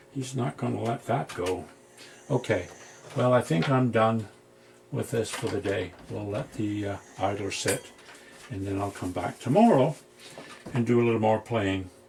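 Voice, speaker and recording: A man at a fairly low pitch and moderate pace, with ordinary pitch variation, long, frequent pauses and noticeable background noise. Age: 70s. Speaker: retired electronics repairman, video hobbyist. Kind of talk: workbench repair tutorial. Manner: casual, rambling with self-talk.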